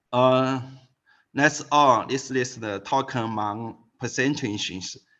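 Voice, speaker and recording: A man with a Chinese accent speaks at medium pitch with fairly even intonation. The background is quiet. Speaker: physics professor. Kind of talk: lecture. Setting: video call. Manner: halting.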